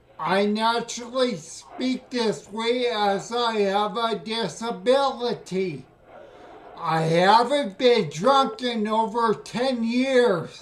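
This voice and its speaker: Loud and very slow, a man speaks at an extremely high pitch with ordinary pitch variation over noticeable background noise. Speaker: scam baiter with ataxia. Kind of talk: phone call. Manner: slurred, sounds drunk.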